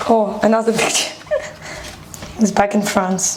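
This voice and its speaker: Over noticeable background noise, a woman talks with a fairly high pitch and fairly even intonation. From Ukraine. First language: Ukrainian. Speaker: refugee. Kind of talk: documentary interview.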